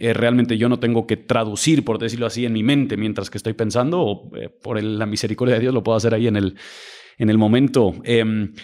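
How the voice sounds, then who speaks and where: Fairly quick delivery pairs with intonation that stays fairly even. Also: man, medium pitch for a man. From Mexico City, raised by US missionary parents. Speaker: pastor. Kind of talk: podcast interview. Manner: hesitant, many fillers and repetitions.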